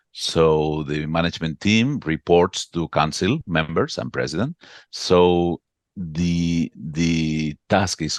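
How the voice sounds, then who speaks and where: In a Catalan accent, a man speaks with a very deep, low pitch and ordinary pitch variation. The sound is dry and close with no echo, over a quiet background. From Catalonia, Spain (Barcelona). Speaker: association executive. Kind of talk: interview. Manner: halting, repeats words.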